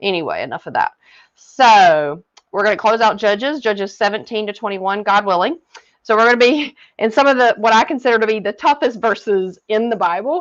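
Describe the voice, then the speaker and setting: With a Southern US accent, a woman talks at a fairly quick pace in a fairly high pitch. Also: lively intonation. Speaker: Bible reading coach. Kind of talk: Bible study talk and reading aloud. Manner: hesitant, frequent fillers.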